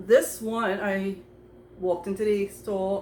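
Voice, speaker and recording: A woman speaks at a medium pitch. Noticeable background noise runs behind her. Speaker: perfume YouTuber. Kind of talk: casual collection review to camera. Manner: fast; hesitant, many fillers.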